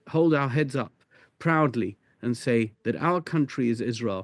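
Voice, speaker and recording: The speaker has a British accent and talks at a moderate pace with ordinary pitch variation. The sound is dry and close with no echo, and the background is quiet. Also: man. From UK. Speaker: rabbi. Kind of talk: interview.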